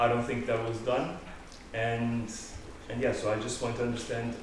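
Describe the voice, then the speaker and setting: A man talks at a moderate pace with a medium pitch. Audible room echo and noticeable background noise fill the recording. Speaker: student association delegate. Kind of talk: heated debate. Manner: loud.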